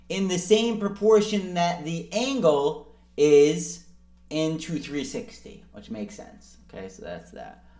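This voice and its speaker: Audible room echo surrounds a man who speaks at a fairly slow pace with a high pitch and ordinary pitch variation. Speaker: math tutor. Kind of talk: tutorial.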